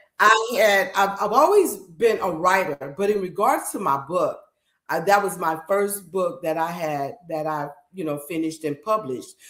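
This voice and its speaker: At a moderate pace, a woman with a medium pitch and an unremarkable speaking voice talks with lively intonation. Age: 60s. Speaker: talk show host. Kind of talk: interview.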